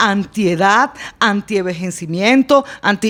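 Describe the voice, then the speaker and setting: A woman talks at a fairly slow pace in an ordinary speaking voice, with lively intonation. The recording is very clean, with a silent background. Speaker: blogger and public speaking teacher. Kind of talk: casual podcast conversation.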